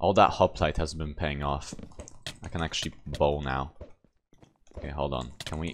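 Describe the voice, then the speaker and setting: A man with a very deep, low pitch and vocal fry speaks at a moderate pace, using fairly even intonation and long, frequent pauses. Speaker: gaming streamer. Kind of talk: gameplay commentary. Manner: casual.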